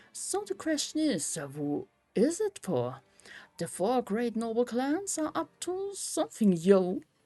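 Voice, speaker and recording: Putting on a character voice, a woman drawls at a fairly slow pace in a high pitch with very wide pitch swings. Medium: game stream. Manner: slangy, drawling.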